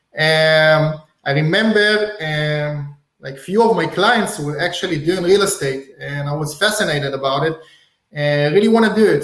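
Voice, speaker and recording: Speaking fairly slowly with an Israeli accent, a man uses a fairly high voice with ordinary pitch variation. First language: Hebrew. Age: 30s. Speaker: real estate wholesaler. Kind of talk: podcast interview.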